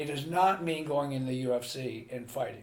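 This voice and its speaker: A man with an American accent speaks at a moderate pace, his voice somewhat breathy and fairly high in pitch with ordinary pitch variation. Audible room echo surrounds his voice. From US, Pennsylvania (Carlisle). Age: 60s. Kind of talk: interview.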